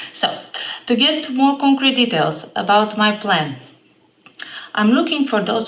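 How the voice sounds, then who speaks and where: A woman with an Eastern European accent, amid noticeable background noise and audible room echo. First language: an Eastern European language. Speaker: fitness trainer. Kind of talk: vlog monologue.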